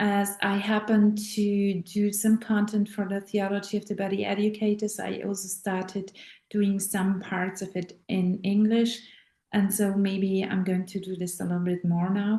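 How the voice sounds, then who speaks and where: A woman with a German accent speaks at a moderate pace in a monotone, flat intonation, her dark, mellow tone somewhat breathy. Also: medium pitch for a woman. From Austria. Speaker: voice teacher and actress. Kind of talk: casual talk to camera. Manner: halting.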